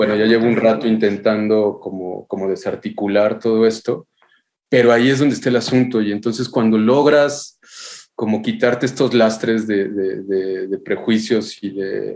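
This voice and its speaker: At a moderate pace, a man talks at a medium pitch. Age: 40s. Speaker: architectural photographer. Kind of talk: podcast interview. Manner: halting, many repetitions.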